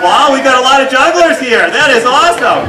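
In a raised, projected voice, a man speaks at a fairly quick pace with ordinary pitch variation over crowd noise in the background. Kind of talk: stage show patter to children. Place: tent. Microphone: camera far.

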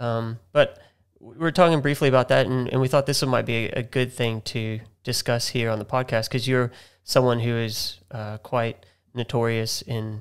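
A man's voice with fairly even intonation against a quiet background. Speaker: podcast host. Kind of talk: interview question, casual. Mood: warm, respectful. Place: office. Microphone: studio mic.

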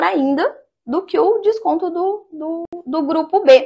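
A woman against a quiet background. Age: 30s. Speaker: business owner; interview guest. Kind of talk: interview. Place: studio. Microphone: lapel.

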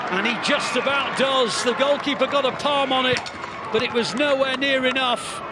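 With a British accent, a man with an extremely high pitch projects a raised voice in a monotone, flat delivery over noticeable background noise. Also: moderate pace. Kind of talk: live football commentary. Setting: stadium match commentary.

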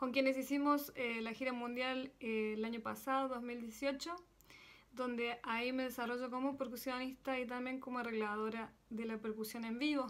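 Her pitch is high and her intonation monotone and flat. The woman keeps a moderate pace. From Argentina, Córdoba; Argentina. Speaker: percussionist and singer. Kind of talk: recorded video greeting. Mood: warm, smiling. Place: home room. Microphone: phone near.

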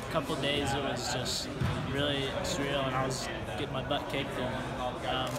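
Music in the background behind a man speaking. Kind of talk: interview answer. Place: gym.

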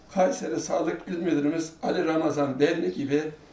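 A man talks with a high pitch at a fairly slow pace. Audible room echo surrounds his voice. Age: 80s+. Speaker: elderly poet reciting. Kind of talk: poetry reading. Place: home room.

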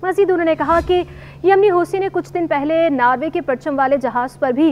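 The voice has a slightly mellow tone and ordinary pitch variation. It moves at a moderate pace. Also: woman.

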